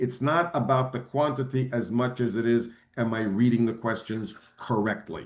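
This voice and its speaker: A man does the talking. His voice lands at a medium pitch. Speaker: bar exam prep lecturer. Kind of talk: webinar lecture. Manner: fast; animated.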